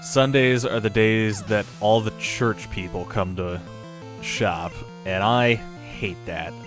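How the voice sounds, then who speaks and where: Over music in the background, a man speaks at a very slow pace with a fairly low pitch and ordinary pitch variation. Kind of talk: casual talk to camera, gaming commentary.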